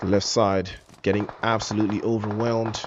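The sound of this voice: This man speaks at a moderate pace. His fairly low pitch shows little movement.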